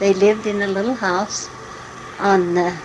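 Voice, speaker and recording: Someone with an American accent speaks at a fairly slow pace with fairly even intonation. Noticeable background noise runs underneath. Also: woman. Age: 60s. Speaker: mother recording family memories. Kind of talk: oral history reminiscence. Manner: halting.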